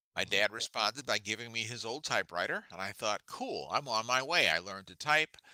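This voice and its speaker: A man's medium-pitched voice, bright and sharp in tone, at a fairly quick pace with lively intonation, hardly any pauses and big swings in loudness, in a dry, close sound with no echo. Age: 70s. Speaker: mystery author. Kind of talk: casual interview.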